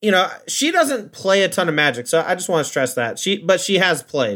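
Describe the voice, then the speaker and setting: The pace is fairly quick and the intonation lively. The recording is very clean, with a silent background. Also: man. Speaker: card game pro player and streamer. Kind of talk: casual chat. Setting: studio. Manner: fast.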